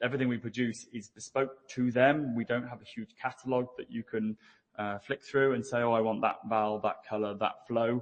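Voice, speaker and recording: Here a man talks with monotone, flat intonation at a moderate pace. His pitch is medium. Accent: British. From UK. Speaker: business development engineer. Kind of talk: conference presentation. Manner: hesitant, many fillers.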